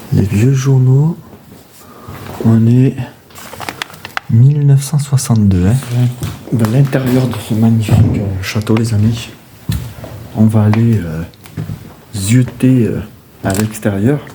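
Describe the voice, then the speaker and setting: Noticeable background noise sits under a man speaking at a medium pitch with ordinary pitch variation. He talks very slowly, with long, frequent pauses. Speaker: urbex explorer, video creator. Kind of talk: exploration vlog narration. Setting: outdoors and in outbuildings of an abandoned estate. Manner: animated, exclamatory; soft-spoken, speaking quietly.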